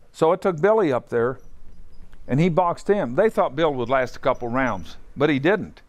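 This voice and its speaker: Against a quiet background, a man talks at a moderate pace with an Appalachian accent. His intonation is lively. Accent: Appalachian Ohio. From southeastern Ohio. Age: 70s. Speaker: boxing gym owner. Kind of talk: guided tour. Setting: boxing gym. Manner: casual, halting.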